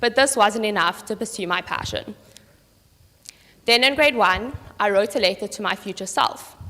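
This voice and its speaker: A woman speaks at a fairly high pitch. Her tone is bright and sharp. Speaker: student presenter. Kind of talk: prepared talk to audience.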